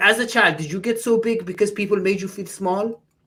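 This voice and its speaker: Her voice somewhat breathy, a woman goes along at a moderate speed. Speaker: podcast co-host. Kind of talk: casual podcast talk.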